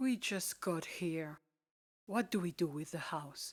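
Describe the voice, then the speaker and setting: A female-sounding, put-on character voice with fairly low pitch moves at a fairly slow pace on a very clean recording with a silent background. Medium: read story. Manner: anxious, questioning.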